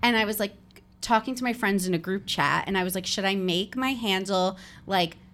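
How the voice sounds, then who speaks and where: A woman with an American accent speaks at a moderate pace in a medium pitch with fairly even intonation, an unremarkable speaking voice. The recording is very clean with a silent background. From New Jersey. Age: 30s. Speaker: podcaster and content creator. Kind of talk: casual interview chat. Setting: office.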